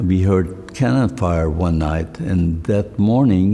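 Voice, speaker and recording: Over noticeable background noise, a man with a very deep, low voice speaks at a very slow pace with ordinary pitch variation. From Poland, Krakow. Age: 80s+. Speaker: Holocaust survivor. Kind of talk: Q&A interview testimony.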